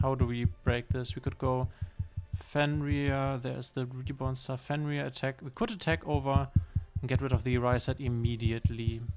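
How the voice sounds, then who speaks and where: A man at medium pitch with a German accent, lively intonation and a moderate pace, with music in the background. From northern Germany. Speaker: streamer. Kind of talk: live gameplay commentary. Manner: halting.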